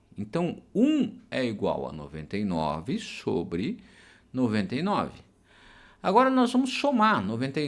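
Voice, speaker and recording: Very wide pitch swings amid audible room echo. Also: man. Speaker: math teacher. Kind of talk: lecture. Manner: slow; hesitant fillers (é, tá).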